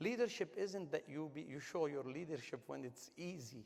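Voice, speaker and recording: A man with a non-native accent talks in a fairly high pitch with lively intonation. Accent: foreign. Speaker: business executive and award honoree. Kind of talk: panel discussion. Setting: stage with audience at a gala. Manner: animated, emphatic.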